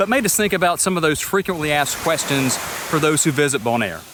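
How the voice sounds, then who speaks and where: Over noticeable background noise, a man with a Southern US accent speaks at a fairly quick pace with lively intonation. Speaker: travel vlogger. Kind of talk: casual travel Q&A vlog.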